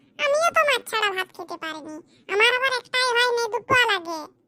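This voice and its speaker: A cartoonish character voice speaks at a moderate pace with lively intonation. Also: woman. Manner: sharp, nagging.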